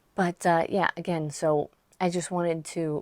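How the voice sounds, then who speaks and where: The intonation is monotone and flat. The sound is dry and close with no echo, in a very clean recording with a silent background. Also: woman. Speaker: online business coach and author. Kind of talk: casual vlog talk to camera. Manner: hesitant, many fillers.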